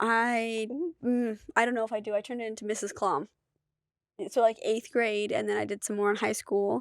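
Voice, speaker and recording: Speaking at a moderate pace, the woman has a fairly high pitch and a monotone, flat intonation. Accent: North Dakota. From North Dakota. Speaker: screenwriter and university adjunct. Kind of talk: casual interview.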